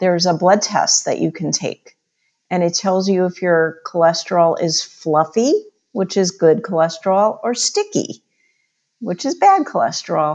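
Here is a woman with an ordinary speaking voice at a medium pitch. She keeps a moderate pace and ordinary pitch variation. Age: 50s. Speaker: chiropractor and nutrition expert. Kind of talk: interview.

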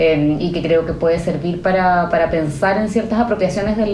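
Audible room echo and noticeable background noise accompany a woman talking fairly quickly. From Chile. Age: 30s. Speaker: novelist. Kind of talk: interview. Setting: at her home. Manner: hesitant, many fillers.

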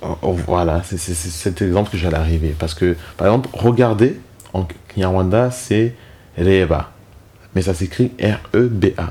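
A man with a very deep, low pitch and ordinary pitch variation talks at a fairly slow pace. Long, frequent pauses break up his speech. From Rwanda, moved to France as a child. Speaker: genocide survivor, father. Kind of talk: personal testimony. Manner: detached at times; hesitant.

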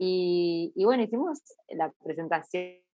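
In a Rioplatense accent, a woman with a medium pitch and a bright, sharp tone speaks at a very slow pace. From Argentina. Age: 40s. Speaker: singer-songwriter. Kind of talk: interview.

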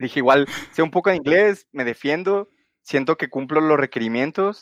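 A man talks at a moderate pace over a quiet background. The sound is dry and close, with no echo. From Mexico, Guadalajara. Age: 20s. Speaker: software engineer. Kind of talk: interview. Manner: halting.

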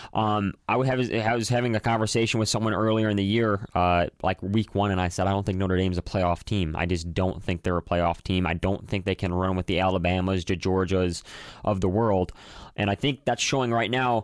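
On a very clean recording with a silent background and a dry, close sound with no echo, a man with an American accent and an unremarkable speaking voice talks at a fairly low pitch and a fairly quick pace with fairly even intonation. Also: very even loudness. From Chicago northwest suburbs. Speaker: sports podcast host. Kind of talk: casual chat.

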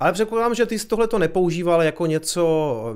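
Lively intonation marks a man's very fast delivery. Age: older than guest. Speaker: Bitcoin YouTuber and stream host. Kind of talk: live stream interview.

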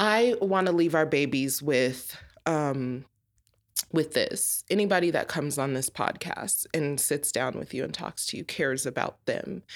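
At a fairly slow pace, a woman with an American accent speaks in a very deep, low pitch with ordinary pitch variation, in a very clean recording with a silent background. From Colorado. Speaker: business owner. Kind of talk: casual chat.

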